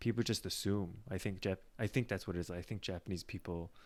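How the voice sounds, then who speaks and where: A man with an American accent speaks at a very deep, low pitch. His pitch varies in an ordinary way, and the recording is very clean with a silent background. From US, New York. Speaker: podcast host. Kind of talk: casual chat. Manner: halting, many fillers.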